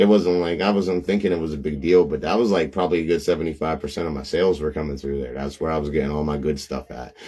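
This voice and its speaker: In a Pittsburgh accent, a man with a very deep, low voice talks very fast with ordinary pitch variation. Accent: Pittsburgh accent, noticeable. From Pittsburgh area, western Pennsylvania. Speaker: reseller, live streamer. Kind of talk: casual live stream chat. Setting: live video stream. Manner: filler-heavy, repetitive.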